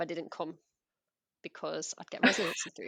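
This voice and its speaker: Speaking at a very fast pace, a woman has an English accent. The sound is dry and close, with no echo. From England. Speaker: former teacher. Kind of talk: casual interview chat.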